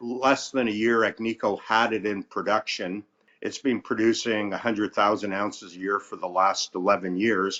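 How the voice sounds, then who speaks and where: A man with an ordinary speaking voice talks at a moderate pace, his fairly low pitch held in fairly even intonation. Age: 60s. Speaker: mining company CEO and geologist. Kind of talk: interview.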